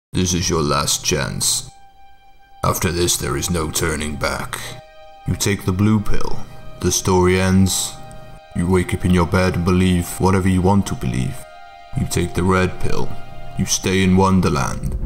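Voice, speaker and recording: A man speaks in a very deep, low voice at a moderate pace. Clear music plays in the background. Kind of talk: parody of dramatic film speech. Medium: comedy sketch. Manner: solemn, grave, deadpan.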